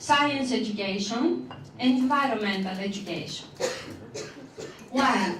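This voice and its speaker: Against noticeable background noise and audible room echo, a woman speaks very slowly with lively intonation. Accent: non-native. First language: not English. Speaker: teacher and PhD researcher. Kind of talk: conference presentation. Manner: slow, deliberate; halting, many fillers.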